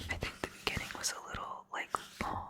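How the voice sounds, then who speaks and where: Whispering at a moderate pace, the speaker keeps a relaxed tone. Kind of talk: whispered ASMR ramble about books, casual talk to camera. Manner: whispered, soft, relaxed, rambling.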